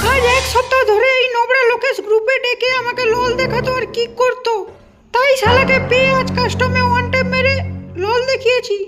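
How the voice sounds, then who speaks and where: With faint music behind her, a woman does a put-on character voice at an extremely high pitch, keeping a moderate pace and very even loudness. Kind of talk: comic parody dubbing. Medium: fan dub. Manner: defiant, sharp.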